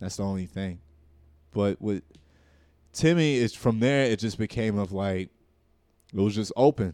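A man with an American accent, fairly low in pitch with ordinary variation, dark and mellow in tone, at a moderate pace with long, frequent pauses, the sound dry and close with no echo. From Newark, New Jersey. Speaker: stand-up comedian. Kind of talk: casual chat.

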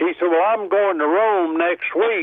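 A man with an American accent speaks at a moderate pace. His pitch is high, with ordinary variation. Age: 90s. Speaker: caller. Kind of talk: call-in radio show. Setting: phone call.

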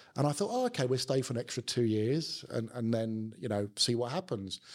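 A man with a South London accent and medium pitch, in a very clean recording with a silent background. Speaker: business executive. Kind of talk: casual interview chat.

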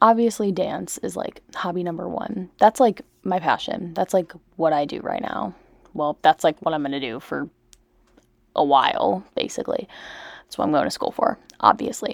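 Recorded very cleanly against a silent background, a woman with a fairly low pitch and vocal fry speaks at a moderate pace with lively intonation, big swings in loudness and long, frequent pauses. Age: young. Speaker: college student podcaster. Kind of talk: casual chat. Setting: bedroom, laptop mic, late at night. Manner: soft-spoken.

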